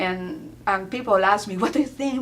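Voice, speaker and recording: A woman's fairly high voice at a fairly quick pace with ordinary pitch variation, against noticeable background noise. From Peru (Lima). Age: 40s. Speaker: immigrant interviewee. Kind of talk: interview.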